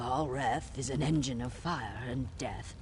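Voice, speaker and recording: Through loud background noise, a man performs a put-on character voice. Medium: video game. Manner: ritual greetings about scales and water.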